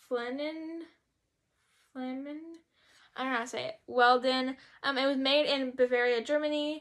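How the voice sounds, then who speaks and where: With an American accent, a woman speaks at a moderate pace in a high pitch and flat, monotone intonation. Long, frequent pauses break up her speech over a quiet background. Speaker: YouTuber; vlogger. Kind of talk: haul video chat. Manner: casual, hesitant with fillers. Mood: playful, self-teasing. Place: home room. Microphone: phone near.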